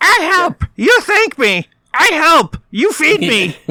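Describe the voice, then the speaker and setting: This put-on character voice sits high in pitch, swinging very widely up and down at a very slow pace. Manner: squawky, broken speech.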